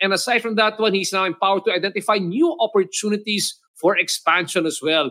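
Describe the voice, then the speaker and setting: A man speaks at a very fast pace in a high, raised and projected voice. His tone is bright and sharp, with ordinary pitch variation. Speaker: podcast host. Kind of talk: interview. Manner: animated.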